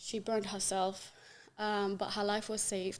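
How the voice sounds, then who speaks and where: A woman with an Arabic accent speaks in a monotone, flat intonation. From Yemen. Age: 20s. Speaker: human rights activist. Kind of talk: podcast interview, personal testimony. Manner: halting, with frequent fillers.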